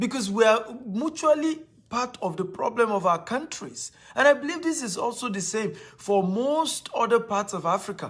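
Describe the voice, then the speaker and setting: Someone with a Nigerian accent speaks at a moderate pace with lively intonation. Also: man, extremely high pitch for a man. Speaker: motivational speaker and real estate investor. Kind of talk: motivational talk.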